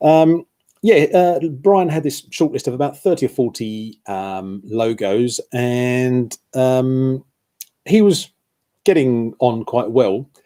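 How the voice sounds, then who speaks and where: In a British accent, a man speaks very slowly in a dark, mellow tone. His pitch is medium and his intonation lively. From UK. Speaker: football shirt blogger. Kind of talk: live stream chat. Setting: live stream. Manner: hesitant, many fillers.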